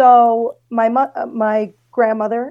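A woman speaks at a fairly slow pace and a fairly high pitch. Her tone is dark and mellow. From Belarus and Russia. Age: 30s. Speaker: podcast guest, former student of host. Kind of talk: casual chat. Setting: video call.

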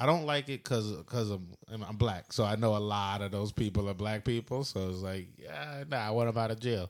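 An unremarkable speaking voice, a man at a fairly low pitch and moderate pace with ordinary pitch variation, on a very clean recording with a silent background. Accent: American. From Philadelphia area, US. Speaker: podcast co-host. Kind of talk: casual chat.

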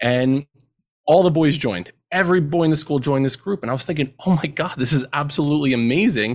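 A man with an American accent, fairly high-pitched, at a very fast pace. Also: ordinary pitch variation. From central New Jersey. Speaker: educator and men's mentoring program co-founder. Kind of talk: podcast interview.

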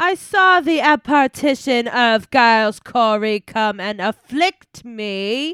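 In a put-on character voice, a female-sounding speaker talks at a high pitch and a fairly slow pace with hardly any pauses, on a very clean recording with a silent background. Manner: theatrical.

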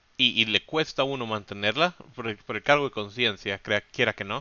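A man's medium-pitched, lively delivery comes at a moderate pace in an ordinary speaking voice. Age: 20s. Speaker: podcast co-host. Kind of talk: casual chat.

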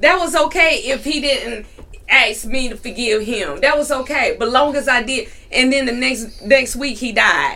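A woman with an American accent speaks in a raised, projected voice at a high pitch. Audible room echo and noticeable background noise surround her. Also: ordinary pitch variation, moderate pace. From North Carolina. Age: 40s. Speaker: entrepreneur and minister. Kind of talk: testimony.

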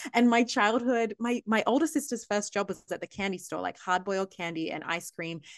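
A woman with an Australian accent speaks at a medium pitch, with hardly any pauses. The background is quiet. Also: fairly quick pace. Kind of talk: casual chat.

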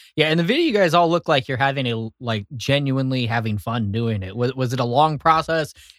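Recorded with a dry, close sound and no echo, a man with an unremarkable speaking voice talks at a medium pitch and fairly quick pace, with ordinary pitch variation and hardly any pauses. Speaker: podcast host. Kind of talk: casual chat interview. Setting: studio.

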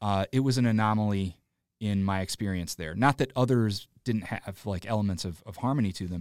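An unremarkable speaking voice from a man with an American accent, fairly low in pitch with ordinary pitch variation and a fairly quick pace, in a dry, close sound with no echo on a very clean recording with a silent background. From Illinois, Joliet area. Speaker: comedic actor and improviser. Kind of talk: casual interview chat.

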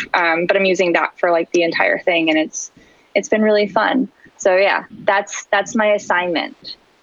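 A woman with an American accent speaks at a moderate pace and medium pitch, her loudness very even and her pitch varying in an ordinary way, over noticeable background noise. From US West Coast (San Diego). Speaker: illustrator and art educator. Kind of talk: casual interview.

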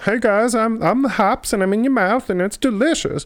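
The put-on character voice has a fairly high pitch. It moves at a moderate pace. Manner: goofy.

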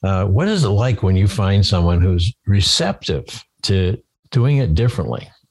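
A man speaks at a moderate pace in a fairly low, somewhat breathy voice. His intonation is lively and his loudness very even. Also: very clean recording, silent background. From Maine. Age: 70s. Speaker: podcast host.

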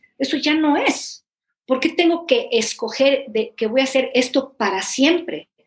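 A woman speaks at a fairly slow pace. Her pitch is high, with ordinary variation. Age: 50s. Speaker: therapist. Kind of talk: interview conversation.

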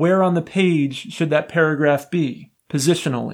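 Man with a normal speaking voice, fairly high pitch, moderate pace and fairly even intonation, in a very clean recording with a silent background. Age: 30s. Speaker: podcast host explaining software. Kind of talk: educational explainer podcast.

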